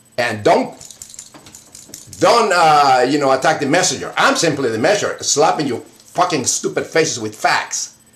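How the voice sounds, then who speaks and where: Against noticeable background noise, a man talks at a moderate pace, his fairly high pitch swinging very widely. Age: 60s. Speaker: atheist video blogger. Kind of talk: angry rant to camera. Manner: animated; halting.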